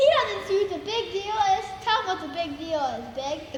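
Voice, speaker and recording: A woman uses a put-on character voice, squeaky and extremely high in pitch, at a moderate pace. Clear background noise and clear echo accompany her. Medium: stage play. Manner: bossy.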